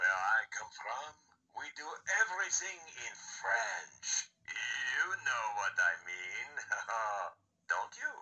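A put-on character voice from a man, very slow, with long, frequent pauses. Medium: talking toy. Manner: playful, flirtatious.

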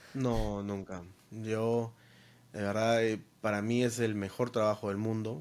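Very slow and monotone, a man speaks with flat intonation at a fairly low pitch. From Peru. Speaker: DJ and content creator; podcast guest. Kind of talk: casual interview. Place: home room. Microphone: studio mic.

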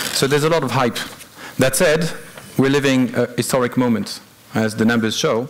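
Male voice, moderately paced. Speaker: conference presenter. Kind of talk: conference talk. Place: hall.

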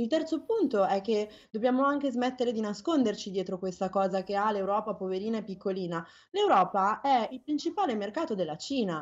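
A woman's fairly high voice, fairly quick and with lively intonation. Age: 30s. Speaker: climate activist. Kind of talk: interview. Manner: halting.

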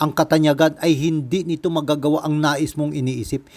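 In a normal speaking voice, a man talks at a fairly quick pace with a fairly high pitch. The recording is very clean with a silent background and a dry, close sound with no echo. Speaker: religious video narrator. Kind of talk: scripted narration.

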